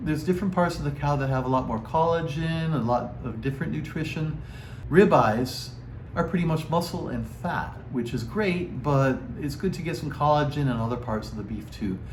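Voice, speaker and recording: An ordinary speaking voice, moderate in speed and ordinary in pitch variation. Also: man, fairly high pitch for a man. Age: 60s. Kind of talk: casual talk to camera.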